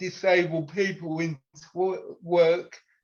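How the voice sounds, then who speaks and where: A fairly slow pace with a British accent. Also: man. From UK. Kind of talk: casual interview chat.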